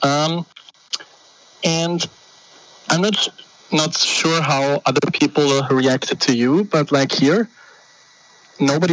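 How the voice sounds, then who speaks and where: Noticeable background noise is present throughout. The talking proceeds at a fairly slow pace. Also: man. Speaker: caller. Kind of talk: phone-in discussion.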